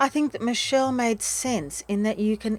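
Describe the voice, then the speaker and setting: A woman speaks at a fairly slow pace in an Australian accent, her pitch fairly high with ordinary variation. The recording is very clean, with a silent background. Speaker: podcast host, breakup recovery mentor. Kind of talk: podcast outro.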